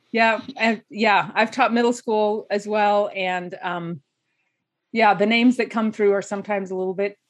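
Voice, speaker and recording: With a plain, everyday voice and an American accent, a woman speaks at a moderate pace with fairly high pitch and ordinary pitch variation against a quiet background. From Idaho. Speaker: life coach. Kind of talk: interview.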